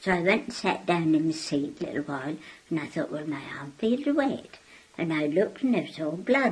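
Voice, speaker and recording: Her voice is somewhat breathy, with a fairly low pitch and very wide pitch swings. This woman keeps a moderate pace. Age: 80s+. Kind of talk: interview answer.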